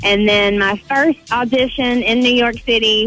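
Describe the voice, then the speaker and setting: A woman's fairly high voice in a Southern US accent at a fairly slow pace, with music in the background. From North Carolina, USA. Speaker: reality TV cast member, former NBA dancer. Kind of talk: radio interview answer.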